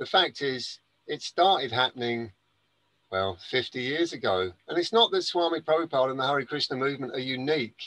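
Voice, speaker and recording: Bright and sharp in tone, a man with an English accent talks at a fairly quick pace with a medium pitch and lively intonation, in a dry, close sound with no echo. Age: 60s. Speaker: gardener and spiritual speaker. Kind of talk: interview. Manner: halting, many fillers and restarts.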